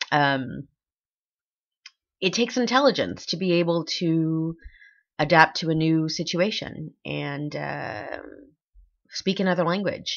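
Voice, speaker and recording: A woman with an American accent, fairly low pitch, ordinary pitch variation and a fairly slow pace, with long, frequent pauses. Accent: American accent noticeable in French. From Texas. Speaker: vlogger. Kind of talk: casual vlog monologue. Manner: animated; halting, many fillers.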